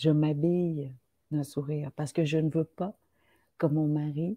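A somewhat breathy voice with fairly even intonation and a fairly slow pace, the sound dry and close with no echo. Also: woman. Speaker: writer. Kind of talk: casual chat.

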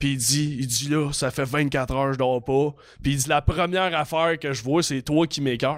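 On a very clean recording with a silent background, a man speaks at a moderate pace in an ordinary speaking voice. His pitch is fairly high and his intonation fairly even. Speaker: comedian. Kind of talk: casual chat.

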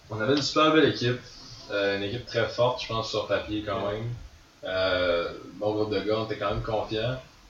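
A man talks at a fairly quick pace with long, frequent pauses. His pitch is fairly low, and there is noticeable background noise. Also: ordinary pitch variation. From Quebec, Gaspésie. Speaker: ultimate frisbee player. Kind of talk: casual chat. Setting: studio.

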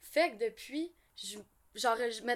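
Woman with a Quebec accent, a fairly high pitch and a fairly slow pace, on a very clean recording with a silent background. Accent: Québécois French. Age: 40s. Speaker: ASMR YouTuber. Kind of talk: casual chat.

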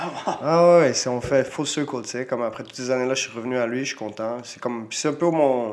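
A man's normal speaking voice at medium pitch, with ordinary pitch variation, big swings in loudness, a fairly quick pace and hardly any pauses. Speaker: retired Muay Thai fighter, coach and promoter. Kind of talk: casual interview.

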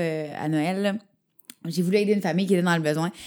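In a Quebec accent, a woman talks at a fairly quick pace. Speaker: radio host. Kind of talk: casual chat.

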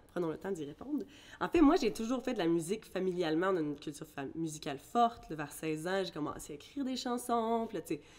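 A woman with a plain, everyday voice, fairly low in pitch, with lively intonation at a fairly quick pace. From Ireland, then Quebec from age 13. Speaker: singer. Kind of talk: casual interview.

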